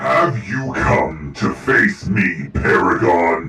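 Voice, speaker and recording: Growling through a put-on character voice that is very deep and low, a man speaks at a very slow pace, with a slight echo and faint music in the background. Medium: actual play. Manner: imperious, menacing.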